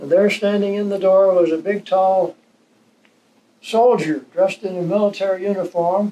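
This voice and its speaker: A man talks with a Western US accent. His pitch is high, and his intonation is fairly even. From Utah. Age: 80s+. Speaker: retired postmaster. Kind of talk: life story interview.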